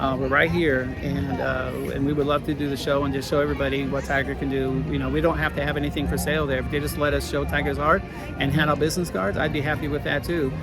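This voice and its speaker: Music plays in the background as a man speaks very fast, with audible room echo. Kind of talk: casual vlog update. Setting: outdoors at a theme park. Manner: hesitant, many fillers.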